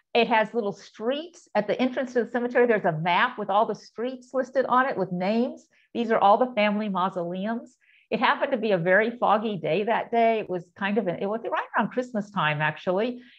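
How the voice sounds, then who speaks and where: A woman at a fairly quick pace, ordinary pitch variation, and a quiet background. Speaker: presenter. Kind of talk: lecture. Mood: warm, reflective storytelling. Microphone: video call.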